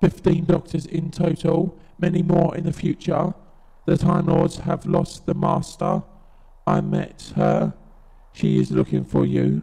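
The voice is a put-on, robotic character voice. It moves at a fairly slow pace with monotone, flat intonation. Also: man, high pitch for a man. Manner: clipped, mechanical.

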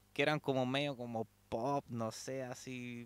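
Against a quiet background, a man with a Chilean accent speaks in a bright, sharp tone. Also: dry sound with no echo. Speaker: metal fan recounting concert trip. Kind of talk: casual interview. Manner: halting, frequent repetitions. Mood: relaxed, enthusiastic storytelling. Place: home room. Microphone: handheld.

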